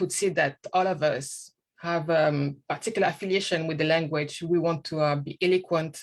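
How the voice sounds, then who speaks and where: A woman with a non-native accent talks at a moderate pace in a fairly low pitch with ordinary pitch variation. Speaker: guest speaker. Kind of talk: interview. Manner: hesitant, many fillers.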